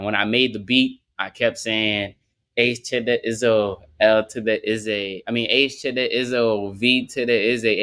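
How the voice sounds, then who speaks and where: In a New Orleans accent, a man speaks at a moderate pace with a bright, sharp tone on a very clean recording with a silent background. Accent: New Orleans accent, noticeable. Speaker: rapper. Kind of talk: casual interview.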